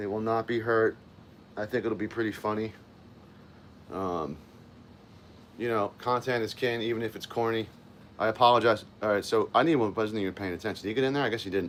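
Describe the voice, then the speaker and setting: The man talks at a fairly quick pace with fairly even intonation. Long, frequent pauses break up his speech. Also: medium pitch for a man. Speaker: live streamer. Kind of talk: casual live stream chat. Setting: home office by window. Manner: loud.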